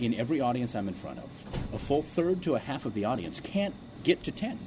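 A man at a moderate pace, his pitch swinging very widely, with noticeable background noise behind him. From born in South Korea, raised in US Midwest. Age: 30s. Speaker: motivational speaker and singer. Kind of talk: interview. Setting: radio studio. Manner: animated, many repetitions.

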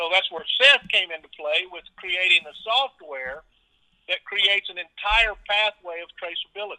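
In a Texan accent, a man speaks at a moderate pace with a high pitch and ordinary pitch variation. His loudness swings in big jumps. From South Texas (Edinburg). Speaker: agriculture company co-owner, former rodeo clown. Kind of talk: interview.

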